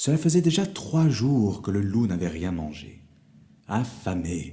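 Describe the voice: Someone reads the text aloud in a plain way.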